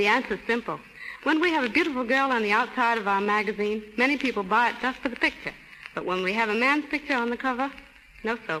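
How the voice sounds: Delivered at a fast pace, the voice has a bright, sharp tone and ordinary pitch variation. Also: woman, fairly high pitch for a woman.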